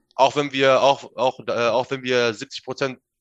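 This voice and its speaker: Medium pitch from a male speaker, recorded dry and close without any echo. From northern Germany, Minden/Bückeburg area. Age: 20s. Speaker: bodybuilder, gym owner. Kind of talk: casual chat. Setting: remote call. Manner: animated, halting.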